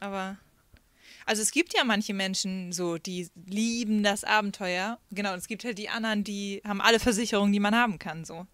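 In a very clean recording with a silent background, a woman with a plain, everyday voice speaks fairly quickly at medium pitch, her intonation fairly even but her loudness swinging widely. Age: 30s. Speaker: singer and former youth leader. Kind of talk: casual chat. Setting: outdoors.

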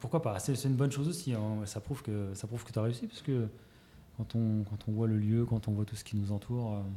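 At a fairly quick pace, a man talks at medium pitch with ordinary pitch variation, in a somewhat breathy voice with a dark, mellow tone. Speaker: podcast host. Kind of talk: interview. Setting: guest's shop.

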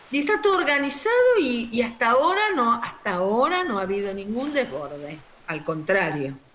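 Fairly high pitch and very wide pitch swings from a woman at a moderate pace, with noticeable background noise and audible room echo. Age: 60s. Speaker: doctor. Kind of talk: interview.

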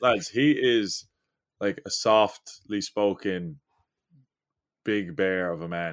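Speaking with an Irish accent at a very slow pace, a man with a fairly low pitch and ordinary pitch variation leaves long, frequent pauses in a very clean recording with a silent background. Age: 20s. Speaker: rugby sevens player. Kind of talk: casual chat.

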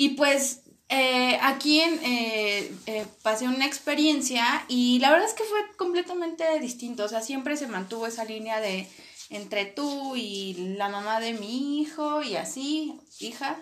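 Here a woman speaks at a high pitch with lively intonation. Her pace is fairly slow. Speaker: podcast co-host. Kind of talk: casual chat.

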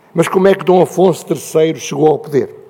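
Moderate pace and ordinary pitch variation from a man with a European Portuguese accent, amid noticeable background noise. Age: old. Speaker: panel speaker. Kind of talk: panel talk.

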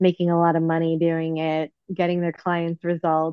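Here a woman speaks at a moderate pace. Her pitch is fairly low. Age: 40s. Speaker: life coach. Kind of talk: casual chat.

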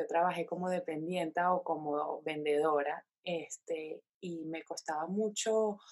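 A woman with a fairly low pitch speaks in a normal speaking voice. Her pitch varies in an ordinary way, and the background is quiet. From Venezuela, Caracas. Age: 20s. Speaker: craft entrepreneur. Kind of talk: interview.

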